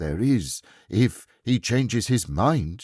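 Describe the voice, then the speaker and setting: In a put-on character voice, a man speaks at a very slow pace at medium pitch with very wide pitch swings, on a very clean recording with a silent background. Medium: read story.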